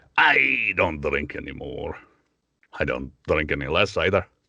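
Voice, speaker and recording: A man's put-on character voice in a Scottish accent, very deep and low, at a moderate pace. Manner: boozy, gruff humor.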